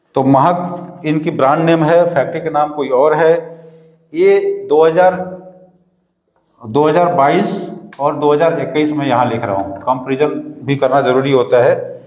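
A man's fairly slow delivery with long, frequent pauses and ordinary pitch variation, in audible room echo. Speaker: tea business teacher. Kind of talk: lecture. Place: studio. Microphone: lapel.

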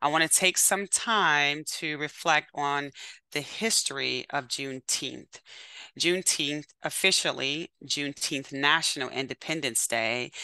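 A woman speaks with a very deep, low pitch and a bright, sharp tone, using ordinary pitch variation at a fairly slow pace. The sound is dry with no echo over a quiet background. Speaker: webinar host. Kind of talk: event introduction and welcome remarks. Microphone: webcam.

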